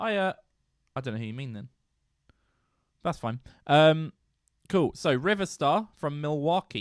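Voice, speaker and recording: Speaking at a fairly slow pace with long, frequent pauses, a man with a British accent has a fairly high pitch, lively intonation and big swings in loudness. The recording is very clean, with a silent background and a dry, close sound with no echo. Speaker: music podcast co-host. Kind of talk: casual chat.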